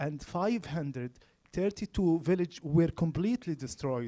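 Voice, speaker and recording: Speaking in an Arabic accent at a fairly slow pace, a man with high pitch and a dark, mellow tone uses lively intonation in a dry, close sound with no echo. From Gaza, Palestine. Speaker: speaker at public talk, trauma healing student. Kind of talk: public talk. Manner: halting, with fillers.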